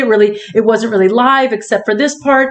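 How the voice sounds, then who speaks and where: A woman's voice with noticeable background noise. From Miami. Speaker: radio host. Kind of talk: fundraising appeal; casual chat.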